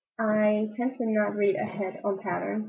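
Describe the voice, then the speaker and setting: Fairly slow speech comes with a slight German accent. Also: woman. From Germany. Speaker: knitting videocaster. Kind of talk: casual vlog talk. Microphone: poor camera, audio out of sync.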